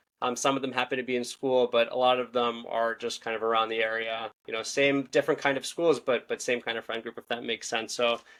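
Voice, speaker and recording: Speaking at a very fast pace with hardly any pauses, a man with a Philadelphia accent keeps a monotone, flat intonation at a medium pitch. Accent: Philadelphia-area American. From US, Philadelphia suburbs. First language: Hebrew and Russian. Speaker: podcast host. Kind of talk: interview.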